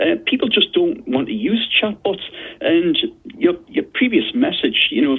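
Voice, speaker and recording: In a Geordie accent, a man speaks at a moderate pace with a high pitch and very wide pitch swings. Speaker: consumer disputes expert. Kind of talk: radio interview.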